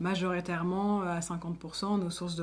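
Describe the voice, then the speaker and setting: In a fairly low pitch, a woman speaks with a monotone, flat intonation. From France, Lyon. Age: 20s. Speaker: association founder and director. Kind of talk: interview monologue. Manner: hesitant, many fillers.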